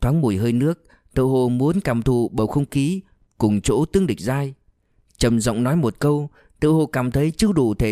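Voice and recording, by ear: Reading aloud in a natural voice over a quiet background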